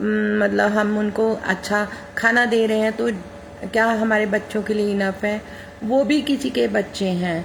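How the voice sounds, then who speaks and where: Through noticeable background noise, a woman with a fairly high pitch talks with very even loudness and fairly even intonation. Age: 60s. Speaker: amateur singer and social media poster. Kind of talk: personal appeal to followers. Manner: halting, many fillers.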